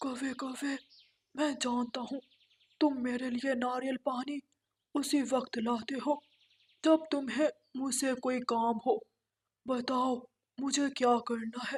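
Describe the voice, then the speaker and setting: A high-pitched, female-sounding cartoonish character voice. Long pauses come often. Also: fairly slow pace. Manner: boastful.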